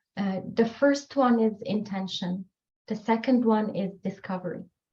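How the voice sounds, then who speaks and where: With a French accent, a woman speaks in a somewhat breathy, fairly high voice with fairly even intonation. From Morocco. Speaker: author. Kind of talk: podcast interview.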